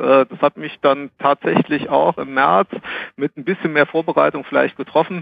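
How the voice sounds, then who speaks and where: At a moderate pace, a man with a fairly high pitch and ordinary pitch variation has an unremarkable speaking voice. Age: 40s. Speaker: HR consultant. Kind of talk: casual chat.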